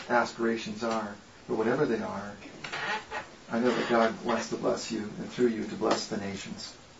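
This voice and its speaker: With an American accent, a man talks at a moderate pace and medium pitch in fairly even intonation, amid audible room echo and noticeable background noise. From Connecticut, New England. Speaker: guest speaker, former geologist. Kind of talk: talk with Bible study.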